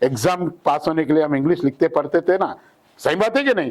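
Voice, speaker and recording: A man with a Hyderabadi accent, fairly high pitch and lively intonation. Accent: Hyderabadi Hindi. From Hyderabad, South India. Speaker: English trainer. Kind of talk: tutorial. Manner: animated.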